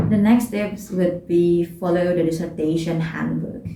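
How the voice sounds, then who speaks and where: A woman's fairly low, somewhat breathy voice, dark and mellow in tone, in a monotone, flat intonation with audible room echo. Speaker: student vlogger. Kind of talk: advice vlog. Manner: halting, many fillers.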